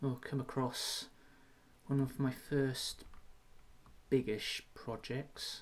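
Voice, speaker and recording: A man talks at a very slow pace with long, frequent pauses. His voice is somewhat breathy and medium in pitch, with monotone, flat intonation. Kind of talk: casual gameplay commentary.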